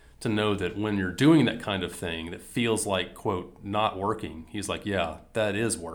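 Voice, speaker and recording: A man speaks in a Southern US accent at a fairly low pitch. His pace is moderate and his intonation fairly even. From US South, Mississippi. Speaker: business strategy consultant. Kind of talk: casual interview conversation.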